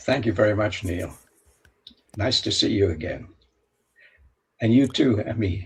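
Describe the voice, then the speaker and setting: A man talks at a fairly slow pace, somewhat breathy. He leaves long, frequent pauses. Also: fairly low pitch for a man, ordinary pitch variation. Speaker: author and world traveller. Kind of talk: interview storytelling. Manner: halting, with fillers and restarts.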